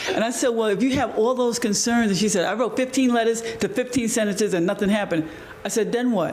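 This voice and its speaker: Over noticeable background noise, a man with an extremely high pitch talks at a very fast pace, keeping his loudness very even. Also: ordinary pitch variation. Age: 60s. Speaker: community organizer. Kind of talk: panel discussion. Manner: animated.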